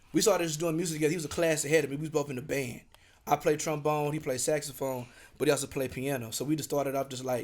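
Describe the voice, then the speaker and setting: The man speaks with an American accent. His fairly high voice moves at a very fast pace. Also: very clean recording, silent background. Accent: Louisiana accent, fading. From southern Oklahoma (small town near Texas border). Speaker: rapper. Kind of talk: casual chat. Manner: animated.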